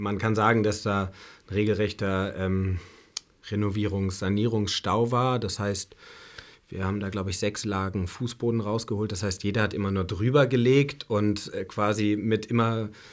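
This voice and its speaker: At a moderate pace, a man speaks in a normal speaking voice with a fairly low pitch and fairly even intonation. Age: 30s. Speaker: bar and restaurant owner. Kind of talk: interview. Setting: studio.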